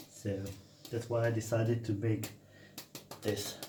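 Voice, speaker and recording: A man speaks at a fairly low pitch. There is audible room echo and noticeable background noise. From Serbia, Banat region. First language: Serbian. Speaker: cooking vlogger. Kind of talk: cooking tutorial. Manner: animated.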